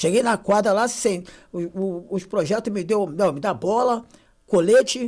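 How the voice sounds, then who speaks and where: A very clean recording with a silent background holds a man's high-pitched voice with ordinary pitch variation. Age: 60s. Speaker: youth football coach in social project. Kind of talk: casual podcast chat.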